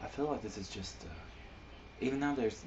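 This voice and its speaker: There is noticeable background noise behind this man. Audible room echo surrounds his voice. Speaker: amateur poet and video blogger. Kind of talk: casual monologue. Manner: halting, many fillers.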